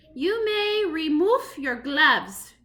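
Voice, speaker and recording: Loud, raspy and robotic, a woman's put-on character voice sits extremely high in pitch and swings very widely. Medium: read story. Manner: shouting, snarling, imperious.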